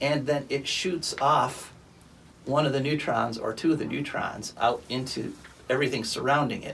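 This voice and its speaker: This man has a fairly high pitch and an unremarkable speaking voice, talking at a moderate pace. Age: 60s. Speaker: environmental radio show host. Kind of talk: casual chat. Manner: conversational, with fillers like uh.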